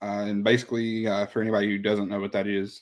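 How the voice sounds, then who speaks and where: Speaking in an Oklahoma accent, a man keeps his intonation monotone and flat. His pitch sits fairly low. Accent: Oklahoma country. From Southern Oklahoma. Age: 20s. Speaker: rapper. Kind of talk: interview. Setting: live stream.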